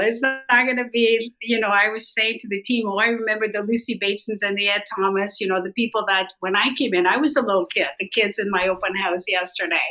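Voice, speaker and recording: Against music in the background, a woman with a fairly high pitch talks at a fairly quick pace with hardly any pauses. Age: 60s. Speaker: real estate agent. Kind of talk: podcast interview. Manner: animated.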